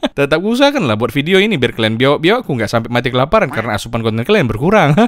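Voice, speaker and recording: Talking at a very fast pace, a man uses an animated tone, a fairly high pitch and very wide pitch swings. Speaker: football content creator. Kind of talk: comedic football commentary vlog.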